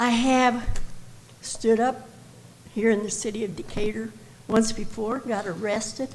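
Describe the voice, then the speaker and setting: A woman's fairly high voice at a fairly slow pace, with fairly even intonation, audible room echo and noticeable background noise. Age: 80s+. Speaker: health educator, public commenter. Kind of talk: public comment speech. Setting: council chamber public meeting.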